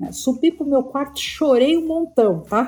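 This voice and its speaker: This woman's tone is dark and mellow. She talks at a moderate pace. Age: 50s. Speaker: career columnist and business executive. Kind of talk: casual chat.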